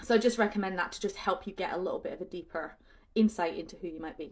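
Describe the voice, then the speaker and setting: A woman is speaking. Her voice sits at a medium pitch with ordinary pitch variation. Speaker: leadership coach. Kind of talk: talk on personal development. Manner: loud; casual, filler-heavy.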